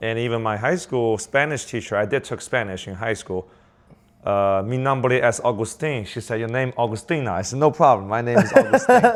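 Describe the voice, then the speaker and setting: At a fairly quick pace, a man with a Chinese accent speaks at a medium pitch with ordinary pitch variation. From southern China. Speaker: business owner. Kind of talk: casual chat. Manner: halting.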